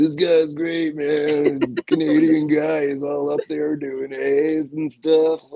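In a put-on character voice, a man talks very slowly at a fairly high pitch, his intonation monotone and flat, with hardly any pauses.

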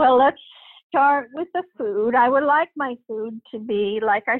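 A high-pitched woman's voice at a very slow pace, with ordinary pitch variation. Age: 80s. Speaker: retired senior, research interviewee. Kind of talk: casual interview. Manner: slightly halting, hesitant.

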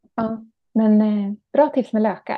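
Her intonation stays fairly level as this woman talks. There is a somewhat breathy quality to her voice. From Ekerö outside Stockholm, Sweden. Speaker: author and gardening teacher. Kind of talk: casual interview chat.

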